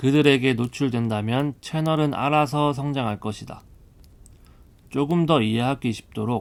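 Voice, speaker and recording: A man speaks at a medium pitch and a fairly slow pace with ordinary pitch variation on a very clean recording with a silent background. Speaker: audiobook narrator. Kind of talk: audiobook reading. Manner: soft-spoken.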